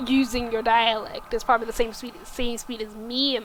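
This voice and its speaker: Flat, monotone intonation in a woman's fairly high-pitched voice. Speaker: streamer. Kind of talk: casual chat. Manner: fast.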